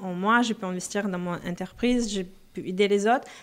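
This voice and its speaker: A woman talks at a moderate pace with fairly even intonation. Her voice sits at medium pitch. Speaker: personal finance coach. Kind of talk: interview.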